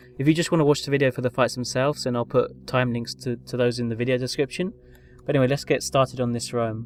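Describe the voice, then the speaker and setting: With music in the background, a man of medium pitch speaks at a very fast pace with fairly even intonation. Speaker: video game commentator. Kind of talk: gameplay commentary. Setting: low-quality home recording. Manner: hesitant, many fillers.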